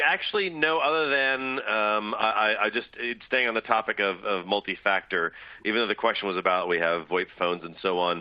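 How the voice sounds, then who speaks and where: The speaker has an American accent and lively intonation. The pace is moderate, with hardly any pauses. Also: man, fairly low pitch for a man. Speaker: security expert. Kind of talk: webinar panel discussion. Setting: online webcast. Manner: halting.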